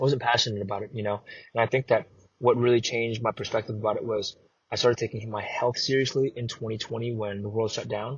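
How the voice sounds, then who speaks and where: With a Chicago accent, a man talks very fast in a medium pitch, somewhat breathy and flat in a monotone delivery. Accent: American, Chicago. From US Midwest, Chicago (born in Vietnam, moved at 3). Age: 20s. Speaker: actor and content creator. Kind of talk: podcast interview.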